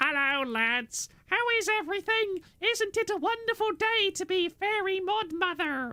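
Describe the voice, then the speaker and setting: Delivered with hardly any pauses, the put-on character voice sits at an extremely high pitch. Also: moderate pace. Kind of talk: stereotypical mascot voice. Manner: cheerful, sweet, sugary.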